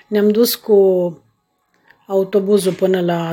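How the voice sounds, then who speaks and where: A woman's somewhat breathy voice, medium in pitch with a dark, mellow tone, at a very slow pace. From Romania, Bacău county (Moldavia). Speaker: podcaster sharing her life story. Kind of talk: personal storytelling monologue. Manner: halting, with frequent filler sounds.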